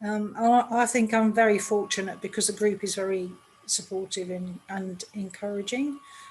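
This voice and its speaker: In an English accent, a woman talks at a moderate pace with fairly even intonation. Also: medium pitch for a woman. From England. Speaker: children's book author. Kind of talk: podcast interview.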